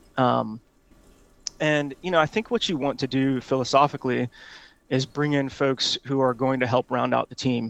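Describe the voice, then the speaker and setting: A man with an ordinary speaking voice talks at a moderate pace and medium pitch, with ordinary pitch variation. The sound is dry and close with no echo, against a quiet background. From Hawaii, US. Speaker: tech executive. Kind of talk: interview.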